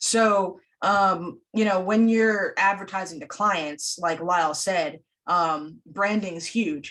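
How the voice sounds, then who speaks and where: At a very slow pace, a woman speaks in a medium pitch with ordinary pitch variation. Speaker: film school instructor and event host. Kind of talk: online panel discussion. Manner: loud; many fillers and restarts.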